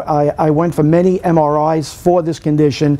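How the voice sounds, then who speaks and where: Noticeable noise fills the background. The voice stays monotone and flat. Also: man. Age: 60s. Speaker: patient giving testimonial. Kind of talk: testimony. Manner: halting.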